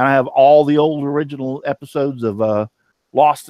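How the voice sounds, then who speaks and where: A man with a Texan accent speaks at a medium pitch. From Texas. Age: 50s. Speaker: woodworking show host. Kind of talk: casual chat.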